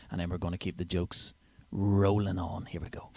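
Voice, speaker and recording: A man with a Northern Irish accent speaks in a very deep, low pitch with fairly even intonation on a very clean recording with a silent background. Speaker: comedian. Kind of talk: comedy podcast monologue. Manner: casual, chatty.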